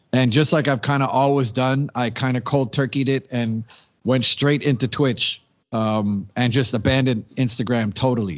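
At a medium pitch, this man has an unremarkable speaking voice. His intonation is fairly even, and his pace is moderate. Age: 40s. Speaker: DJ and radio host. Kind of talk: interview answers. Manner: casual, lots of fillers.

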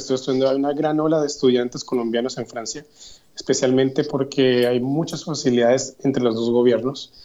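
A man's voice carries a dark, mellow tone. His pitch sits fairly high. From Colombia, Yopal, Casanare (llanos region). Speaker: graduate student. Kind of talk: interview.

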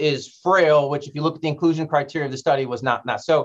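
Fairly quick speech from a man. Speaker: hematologist oncologist. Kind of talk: casual chat between doctors.

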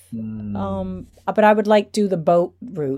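In an American accent, a woman with a dark, mellow tone speaks at a moderate pace, her pitch swinging very widely. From Atlanta, Georgia, US. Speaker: drag queen performer living in Paris. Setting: video call from Paris.

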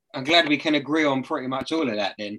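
Speaking fast, a man with a medium-pitched voice and a bright, sharp tone uses ordinary pitch variation.

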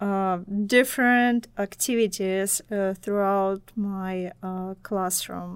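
A woman speaks very slowly with a Russian accent and ordinary pitch variation. The recording is very clean, with a silent background. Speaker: assistant professor. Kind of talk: casual interview chat. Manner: hesitant, many filler pauses.

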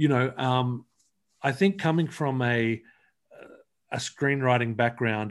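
With a quiet background behind him, a man talks in a medium pitch. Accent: Australian. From Australia. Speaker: comic book writer. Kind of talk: interview. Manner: halting.

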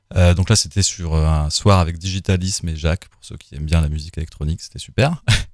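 A man with a very deep, low pitch speaks at a very fast pace with hardly any pauses. His intonation stays fairly even, but his loudness swings widely. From northern France (Amiens). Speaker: electronic music producer and drummer. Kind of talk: radio interview.

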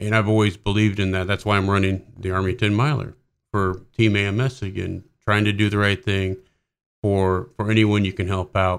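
A man speaks at a moderate pace in an unremarkable speaking voice with a fairly low pitch. The recording is very clean, with a silent background. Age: 40s. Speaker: army warrant officer, organ donor. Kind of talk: interview.

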